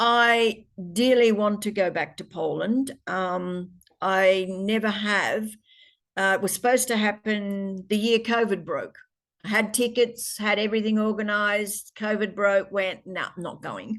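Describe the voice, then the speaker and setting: The speaker talks with an Australian accent at a fairly slow pace. Intonation stays fairly even. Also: woman, medium pitch for a woman. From Australia, Parkes NSW. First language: Polish. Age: 70s. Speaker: interviewee, daughter of migrants. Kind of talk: interview.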